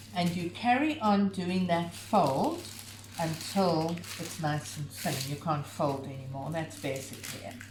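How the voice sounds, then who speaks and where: Against noticeable background noise, a woman talks with lively intonation at a fairly low pitch. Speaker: home cooking video host. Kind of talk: cooking tutorial; casual chat. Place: home room. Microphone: camera far.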